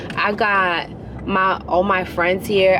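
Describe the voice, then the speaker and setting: Against noticeable background noise and audible room echo, a woman speaks at a medium pitch in a New York accent. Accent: New York City. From New York City, Queens. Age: 20s. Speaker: vlogger. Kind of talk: casual vlog talk. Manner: animated, casual.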